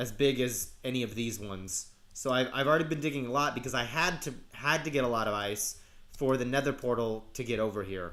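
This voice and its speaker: A man talks at medium pitch with ordinary pitch variation. Audible room echo surrounds his voice. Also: fairly quick pace. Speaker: gaming YouTuber. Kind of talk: let's play commentary. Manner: hesitant, many fillers.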